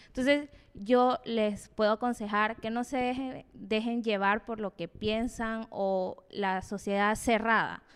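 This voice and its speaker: A very slow delivery with hardly any pauses, in a very clean recording with a silent background. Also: woman, fairly high pitch for a woman. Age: 20s. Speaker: pole dancer. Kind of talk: casual chat.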